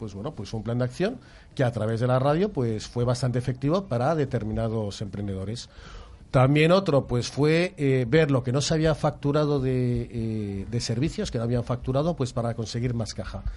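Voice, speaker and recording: Talking at a moderate pace, a man has an ordinary speaking voice, and his pitch varies in an ordinary way. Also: medium pitch for a man. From Catalonia. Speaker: financial consultant. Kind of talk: explanatory talk.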